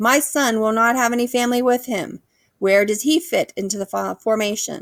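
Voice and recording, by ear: A put-on character voice, female-sounding and fairly high in pitch, at a moderate pace on a very clean recording with a silent background.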